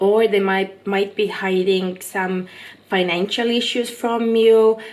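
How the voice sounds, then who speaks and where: Speaking very slowly, a woman with a non-native accent keeps her intonation monotone and flat. Her pitch sits in the medium range. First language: not English. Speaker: tarot reader. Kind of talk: tarot reading monologue. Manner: casual, hesitant with fillers.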